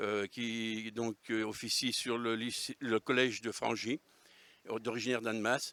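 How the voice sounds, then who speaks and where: A man speaks very slowly at a medium pitch, his tone bright and sharp. The recording is very clean with a silent background, and the sound is dry and close with no echo. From Savoy, France (Albanais area). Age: 60s. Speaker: regional political activist. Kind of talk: interview. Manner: hesitant, many fillers.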